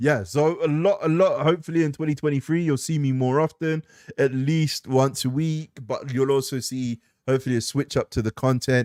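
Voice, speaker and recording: Recorded very cleanly with a silent background and a dry, close sound with no echo, a man talks at a fairly quick pace and fairly high pitch with ordinary pitch variation. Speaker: gaming live streamer. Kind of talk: casual live stream chat. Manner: rambling, hesitant with fillers.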